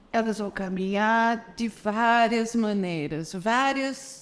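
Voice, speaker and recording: The woman speaking has a fairly high voice. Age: 50s. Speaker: voice and Alexander Technique teacher. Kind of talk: video lesson.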